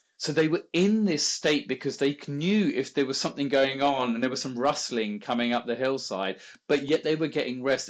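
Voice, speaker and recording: A man at medium pitch and a fairly quick pace. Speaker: meditation teacher. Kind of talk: interview. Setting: podcast. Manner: fast.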